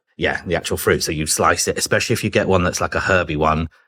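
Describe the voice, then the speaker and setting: A British-accented man with a very deep, low pitch, fairly even intonation and a bright, sharp tone. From southern England (Chichester, West Sussex). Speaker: business development executive. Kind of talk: casual chat.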